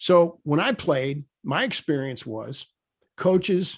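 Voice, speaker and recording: Against a quiet background, a man speaks in a normal speaking voice, fairly high in pitch with ordinary pitch variation. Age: 60s. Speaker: podcast host, former football coach. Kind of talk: casual interview chat.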